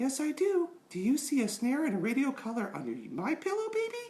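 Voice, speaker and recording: Using a put-on character voice, a man talks at a fairly quick pace with an extremely high pitch and very wide pitch swings. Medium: read story.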